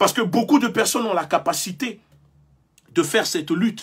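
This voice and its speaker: A man with a West African accent speaks at a high pitch with lively intonation. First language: Mina/Ewe (speaking French). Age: young. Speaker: activist leader. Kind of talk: live-stream speech. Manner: impassioned, oratorical.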